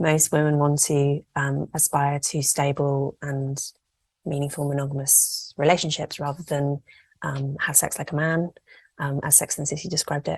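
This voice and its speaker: A woman with an English accent speaks at a moderate pace, with a very deep, low pitch and a somewhat breathy sound. Her intonation is monotone and flat, and the background is quiet. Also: dry, close sound with no echo. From England. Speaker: journalist and campaigner. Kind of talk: podcast interview.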